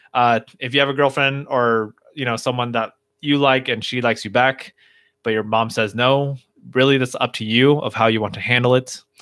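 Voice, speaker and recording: A man speaks at a moderate pace in a medium pitch. His intonation is monotone and flat. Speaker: livestream host and speaker. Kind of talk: casual livestream Q&A. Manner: mellow, low energy.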